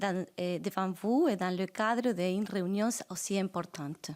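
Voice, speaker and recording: Over a silent background on a very clean recording, a woman speaks at a fairly slow pace. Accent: Spanish. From Argentina, Santa Fe province. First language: Spanish (speaking French). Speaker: judge, guest speaker. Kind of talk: formal conference speech.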